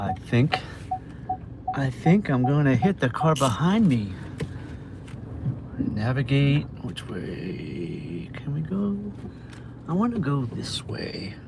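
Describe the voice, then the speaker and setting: Against noticeable background noise, a man with an American accent and a medium pitch speaks very slowly, with long, frequent pauses and very wide pitch swings. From Massachusetts. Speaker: food delivery driver livestreamer. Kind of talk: casual livestream chat while driving. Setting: in a car.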